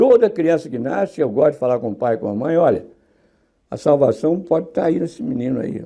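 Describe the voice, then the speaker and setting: A man with a dark, mellow tone and fairly high pitch shows vocal fry and very wide pitch swings. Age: 80s+. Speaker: sculptor. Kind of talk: interview. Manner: animated.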